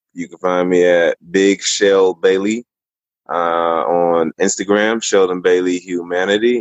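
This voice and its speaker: Very deep and low in pitch, a man speaks at a very slow pace. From military family, moved often; born in Germany. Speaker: former pro basketball player and actor. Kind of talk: casual interview.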